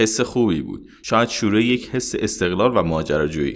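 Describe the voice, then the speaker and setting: Talking at a fairly quick pace, a man with an unremarkable speaking voice shows ordinary pitch variation. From Iran. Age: 30s. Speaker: traveler and former mechanical engineer. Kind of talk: interview.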